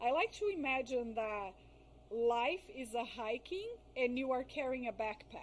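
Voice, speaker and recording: Speaking at a fairly slow pace with lively intonation, a woman with a non-native accent talks in a high pitch. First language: not English. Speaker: trauma therapist. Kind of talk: podcast interview. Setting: live video podcast.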